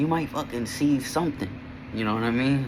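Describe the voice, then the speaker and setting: There is noticeable background noise and audible room echo as a man speaks at a medium pitch with ordinary pitch variation. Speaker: vlogger. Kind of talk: casual vlog monologue. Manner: halting, self-correcting; casual, slangy.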